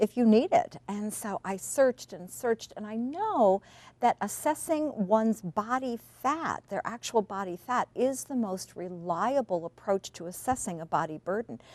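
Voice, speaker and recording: A woman with a plain, everyday voice speaks at a moderate pace and a fairly high pitch, with lively intonation and big swings in loudness. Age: 60s. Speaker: health and nutrition expert, author. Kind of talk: TV interview.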